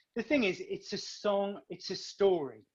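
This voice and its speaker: A man with a British accent speaks at a moderate pace against a quiet background. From northern England. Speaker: singer and actor. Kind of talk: casual interview.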